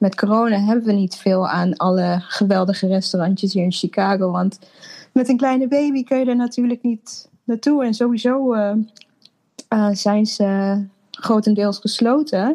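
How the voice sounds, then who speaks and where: A woman's somewhat breathy, fairly high voice with a dark, mellow tone, ordinary pitch variation, very even loudness and a moderate pace over a quiet background. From Netherlands (Apeldoorn), born in Suriname. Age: 30s. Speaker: interviewee, new mother. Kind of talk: personal story in interview. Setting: video call.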